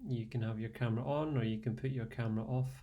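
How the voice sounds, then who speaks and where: In a Scottish accent, a man speaks at a moderate pace, somewhat breathy. His tone is dark and mellow, relaxed and calm. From Scotland. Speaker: fitness and meditation instructor. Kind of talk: live online class introduction. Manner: relaxed, calm.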